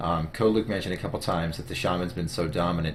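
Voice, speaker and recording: A very deep, low-pitched man's voice at a very fast pace, with ordinary pitch variation and audible room echo. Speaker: gaming interviewer. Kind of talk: casual interview.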